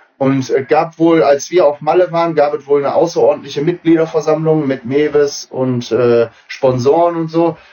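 Man's unremarkable speaking voice, fairly high in pitch, at a moderate pace. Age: 30s. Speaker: amateur footballer and coach. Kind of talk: casual chat.

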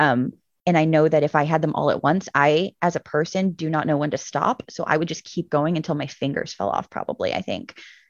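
Hardly pausing, the speaker moves at a fairly quick pace with ordinary pitch variation. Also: woman, very deep, low pitch for a woman. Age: 30s. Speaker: children's book author and artist. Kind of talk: casual chat.

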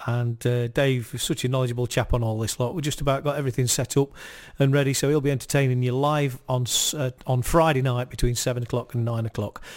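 Over a silent background on a very clean recording, a man speaks fairly quickly at a medium pitch in a warm, enthusiastic tone. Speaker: community radio presenter. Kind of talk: radio DJ patter, live music show with quiz and station plugs. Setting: studio. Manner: chatty, relaxed, rambling with frequent fillers; warm, enthusiastic, jokey.

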